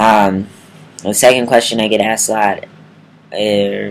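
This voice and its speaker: The speaker is a man with a fairly low pitch. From Milwaukee, Wisconsin, USA. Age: 20s. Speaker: transgender vlogger. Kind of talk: casual talk to camera.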